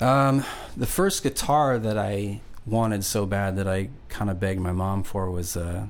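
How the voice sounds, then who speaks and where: Audible room echo surrounds a man's voice. He speaks at a fairly slow pace with ordinary pitch variation. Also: fairly low pitch for a man. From Long Island, New York; moved around (Indiana, Nevada, Georgia). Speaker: singer-songwriter. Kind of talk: casual interview chat. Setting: studio. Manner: relaxed.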